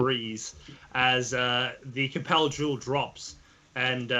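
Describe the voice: Words are read aloud in a plain way.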